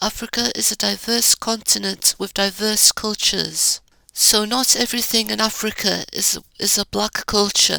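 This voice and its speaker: A woman with an Arabic accent speaks at a moderate pace in a very clean recording with a silent background, the sound dry and close with no echo. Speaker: YouTuber giving commentary. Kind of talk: rant.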